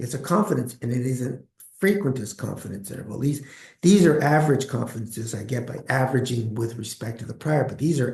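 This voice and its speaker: A somewhat breathy man with lively intonation at a fairly quick pace. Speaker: statistics professor. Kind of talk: lecture. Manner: fast.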